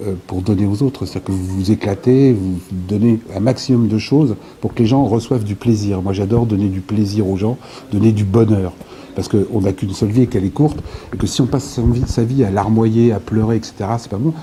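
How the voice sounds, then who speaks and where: Against noticeable background noise, a man speaks at a fairly quick pace in a fairly low voice with fairly even intonation. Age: 60s. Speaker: author and former local politician. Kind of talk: interview. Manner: hesitant, many filler sounds.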